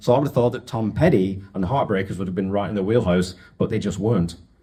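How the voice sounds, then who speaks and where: A man speaks with an English accent. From northern England (Wigan). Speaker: podcast host. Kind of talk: storytelling talk to an audience. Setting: stage with audience. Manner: casual, joking.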